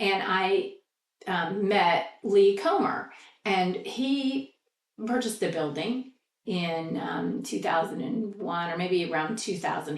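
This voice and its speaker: Audible room echo surrounds a woman with an American accent. She has a medium pitch and lively intonation. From Indiana, US Midwest. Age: 60s. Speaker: local theater manager. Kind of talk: oral history interview.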